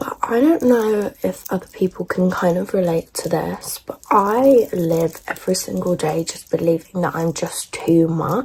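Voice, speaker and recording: A woman with an English accent speaks at medium pitch with lively intonation. Noticeable background noise runs underneath. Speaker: beauty vlogger. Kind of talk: casual chat. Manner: loud; animated.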